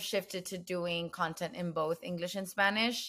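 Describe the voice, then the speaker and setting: The recording is very clean, with a silent background. A woman with an American accent speaks in a bright, sharp tone at a fairly low pitch, her intonation fairly even. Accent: Mexican American English. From Mexico-US border, Nuevo Laredo, Tamaulipas. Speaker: bilingual content creator. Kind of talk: casual interview chat.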